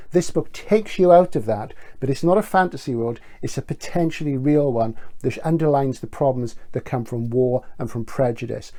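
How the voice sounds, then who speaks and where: Medium-pitched male voice with a British accent, a dark, mellow tone, lively intonation and a fairly quick pace. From Britain. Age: 60s. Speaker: bookseller. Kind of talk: book recommendation video.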